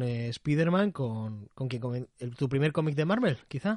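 A man with an unremarkable speaking voice, lively intonation and a moderate pace, against a quiet background. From Canary Islands, Spain. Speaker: comics podcast host. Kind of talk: casual interview chat. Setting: video call.

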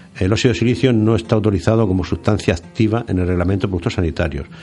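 A man rushes along at a very fast pace with ordinary pitch variation. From Murcia, Spain. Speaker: radio co-host and farmer. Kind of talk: radio show chat.

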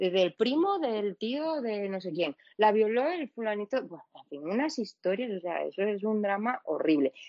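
Her pitch is medium, yet this woman's voice moves in very wide pitch swings at a moderate pace. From Venezuela. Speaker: podcast guest. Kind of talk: casual chat.

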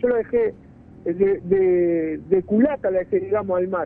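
This man moves at a moderate pace. His intonation stays lively throughout. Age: 30s. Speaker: fisherman, witness of a freak wave. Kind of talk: interview. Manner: halting.

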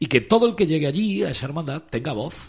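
A man's fairly quick speech with vocal fry. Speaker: radio host. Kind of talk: radio show. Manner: formal.

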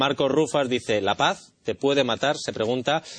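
Pitch rises and falls in an ordinary way in what is simply a normal speaking voice. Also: man. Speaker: talk show host. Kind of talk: panel discussion.

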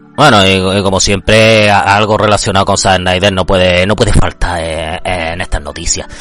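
With music in the background, a man speaks in a very deep, low voice with fairly even intonation and hardly any pauses. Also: moderate pace. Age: 30s. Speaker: podcast host. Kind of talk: casual monologue.

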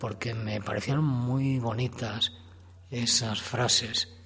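Delivery is at a fairly slow pace. There is a somewhat breathy quality to the voice. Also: man. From Spain, not from Guadalajara. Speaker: amateur writer and guide. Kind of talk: radio interview.

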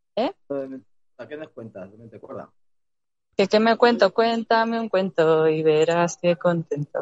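A woman speaks fairly slowly in a fairly low voice. Her pitch swings very widely and her loudness shifts a lot. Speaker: caller. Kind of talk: casual chat. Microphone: connection cuts out.

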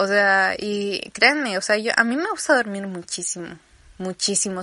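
A woman at a fairly slow pace with ordinary pitch variation, against a quiet background. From Campeche, Mexico. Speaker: podcaster. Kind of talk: casual monologue. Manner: animated.

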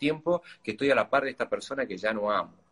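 A man's fairly high voice with a bright, sharp tone, ordinary pitch variation and a very fast pace. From Argentina, Tucumán. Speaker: nutritionist and athlete. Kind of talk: interview. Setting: video call via Instagram live.

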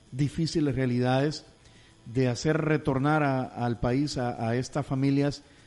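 A man's fairly high-pitched voice comes through with music in the background. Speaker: radio host. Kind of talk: radio interview.

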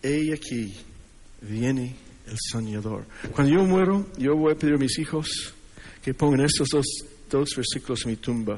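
A man's medium-pitched voice at a fairly slow pace, with ordinary pitch variation, long, frequent pauses and audible room echo. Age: 60s. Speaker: preacher. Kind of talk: sermon. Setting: church conference with audience. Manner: halting. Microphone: sound system problems.

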